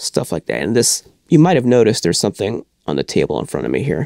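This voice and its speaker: Talking very fast with vocal fry, a man's voice swings very widely in pitch. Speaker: collector and show host. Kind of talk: casual video talk. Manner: halting.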